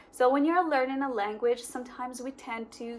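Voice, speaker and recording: A woman talks at a high pitch while noticeable background noise runs underneath. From Morocco. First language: Moroccan Arabic. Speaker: English learning YouTuber. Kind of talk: casual talk to camera.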